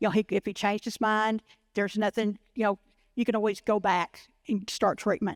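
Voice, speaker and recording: A woman with a Texan accent, fairly high-pitched and fairly quick, flat and monotone in intonation, in a dry, close sound with no echo on a very clean recording with a silent background. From Waco, Texas. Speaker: liver cancer patient advocate. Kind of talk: personal story talk.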